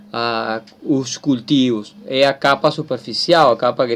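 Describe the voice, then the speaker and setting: Speaking in a Spanish accent, the man uses ordinary pitch variation. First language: Spanish (speaking Portuguese). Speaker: teacher. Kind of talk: lecture. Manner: halting.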